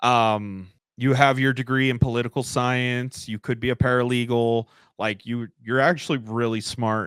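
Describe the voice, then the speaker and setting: Someone speaks in an American accent with a monotone, flat intonation, heard in a dry, close sound with no echo on a very clean recording with a silent background. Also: man, medium pitch for a man, moderate pace. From United States. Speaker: podcast host. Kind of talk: casual interview chat.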